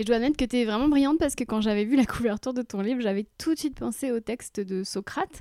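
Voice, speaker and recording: A woman with a fairly high pitch and a dark, mellow tone speaks at a very fast pace with hardly any pauses and ordinary pitch variation. The recording is very clean, with a silent background and a dry, close sound with no echo. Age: 40s. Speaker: podcast host, author and comedian. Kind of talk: interview conversation.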